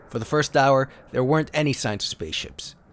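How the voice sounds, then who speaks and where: Over music in the background, a voice with a dramatic tone moves at a moderate pace with ordinary pitch variation. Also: man. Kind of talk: dramatic story reading.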